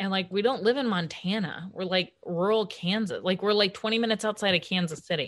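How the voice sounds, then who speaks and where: A normal speaking voice with an American accent, at a fairly quick pace with hardly any pauses and ordinary pitch variation. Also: woman, medium pitch for a woman. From US Midwest. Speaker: comedian. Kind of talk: casual chat. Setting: video call.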